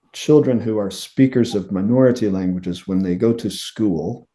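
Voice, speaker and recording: In an American accent, a man speaks with a dark, mellow tone, a fairly low pitch and ordinary pitch variation. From United States. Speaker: linguistics professor. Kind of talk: interview. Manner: gentle.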